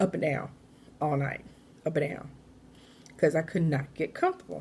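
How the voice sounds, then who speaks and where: A woman speaks in a very deep, low voice with vocal fry. Her tone is animated. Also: ordinary pitch variation, moderate pace. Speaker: vlogger. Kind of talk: casual vlog talk.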